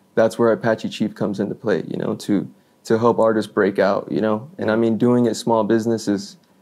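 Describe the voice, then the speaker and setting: A man with an American accent talks at a fairly quick pace. His intonation is fairly even, and he has a plain, everyday voice. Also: medium pitch for a man. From Florida, US. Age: 20s. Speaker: hip hop artist and record label owner. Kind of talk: interview. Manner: casual, many fillers (you know, like).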